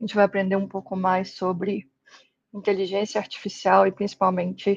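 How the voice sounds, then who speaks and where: At a fairly slow pace, the woman speaks with a medium pitch. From Brazil, Espírito Santo. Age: 20s. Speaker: tech instructor. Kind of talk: online lecture.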